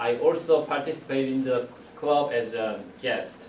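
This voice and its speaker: A man at a medium pitch, with audible room echo and noticeable background noise. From South Korea. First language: Korean. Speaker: club member giving first speech. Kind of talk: prepared speech. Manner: halting.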